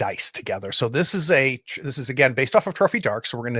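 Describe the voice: Lively intonation marks this plain reading aloud.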